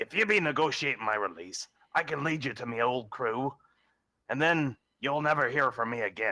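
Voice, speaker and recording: Using a raspy put-on character voice at a medium pitch, a man speaks at a moderate pace. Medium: actual play. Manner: blustering, wheedling.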